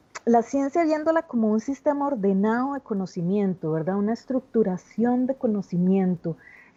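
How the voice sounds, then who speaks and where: With a fairly high pitch and a dark, mellow tone, a woman speaks at a moderate pace with lively intonation and hardly any pauses, in a dry, close sound with no echo. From Costa Rica. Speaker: theatre artist and education researcher. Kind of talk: video conference talk. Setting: video call.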